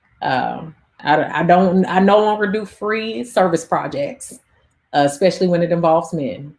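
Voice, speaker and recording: At a moderate pace, a woman speaks in a fairly low pitch with lively intonation. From US Midwest, St. Louis. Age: 30s. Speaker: YouTuber and dating coach. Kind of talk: casual livestream chat. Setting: livestream with live chat comments. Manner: animated, conversational.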